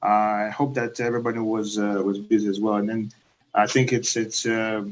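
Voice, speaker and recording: At a moderate pace, a man with a medium pitch talks in a Belarusian accent. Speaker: project management consultant. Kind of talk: webinar presentation. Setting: live online webinar. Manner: halting, many fillers. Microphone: echo.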